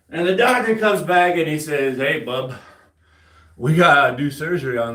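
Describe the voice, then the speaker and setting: A man speaks at a moderate pace with ordinary pitch variation. Audible room echo surrounds his voice. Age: 40s. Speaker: army veteran and home gym fitness streamer. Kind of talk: casual live stream chat while working out.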